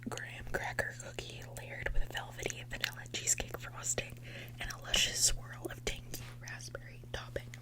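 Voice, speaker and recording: Noticeable background noise runs under this recording. A man speaks in a very deep, low pitch with monotone, flat intonation. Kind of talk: ASMR taste test, casual talk to camera. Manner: soft-spoken, whispered.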